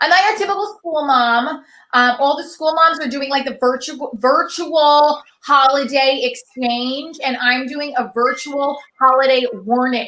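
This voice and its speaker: Her voice is raised and projected, high-pitched, with a bright, sharp tone. The woman's pitch varies in an ordinary way. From Italian-American household, US. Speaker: stand-up comedian. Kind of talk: stand-up. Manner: fast; animated.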